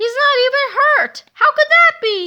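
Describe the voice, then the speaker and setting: A woman uses a put-on, squeaky character voice pitched extremely high, speaking at a fairly slow pace. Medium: read story. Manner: gloating, maniacal laughter.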